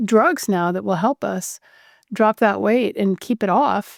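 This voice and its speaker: In an ordinary speaking voice, a woman talks at a moderate pace with medium pitch and fairly even intonation, the sound dry and close with no echo. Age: 60s. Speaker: physician. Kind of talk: interview.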